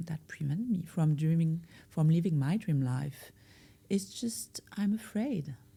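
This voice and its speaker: Somewhat breathy and dark, mellow in tone, a woman with a French accent talks at a moderate pace in a fairly low pitch with lively intonation. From France. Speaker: life coach. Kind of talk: podcast interview. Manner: hesitant, with fillers.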